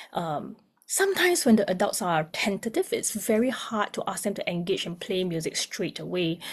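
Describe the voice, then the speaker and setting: A somewhat breathy woman with a medium pitch talks at a fairly quick pace. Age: young. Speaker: music therapist. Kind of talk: webinar presentation.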